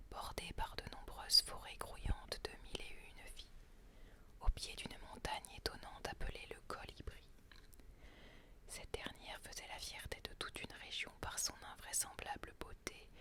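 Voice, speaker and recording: Someone whispers at a fairly slow pace. Noticeable background noise is present. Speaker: storyteller. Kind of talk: read story. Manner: whispered.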